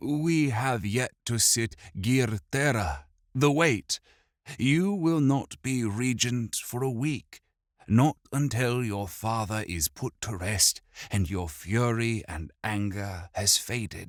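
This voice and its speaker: Using a put-on character voice, a man speaks at a medium pitch and a very slow pace. The recording is very clean, with a silent background. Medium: read story. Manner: calm, measured.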